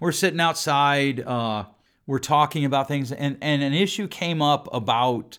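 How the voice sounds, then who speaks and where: Loud and animated, a man speaks at a moderate pace on a very clean recording with a silent background. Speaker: podcast host and counselor. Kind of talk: solo podcast monologue. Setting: studio recording.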